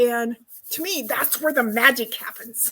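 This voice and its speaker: A woman with an American accent speaks in a high pitch with ordinary pitch variation at a fairly slow pace. The recording is very clean, with a silent background. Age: 70s. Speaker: retirement life coach and author. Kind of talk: podcast interview. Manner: halting, many fillers.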